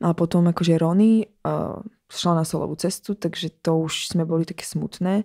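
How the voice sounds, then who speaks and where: The voice has a dark, mellow tone and a monotone, flat intonation, captured in a very clean recording with a silent background. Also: woman. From Slovakia. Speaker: singer and dancer. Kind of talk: interview.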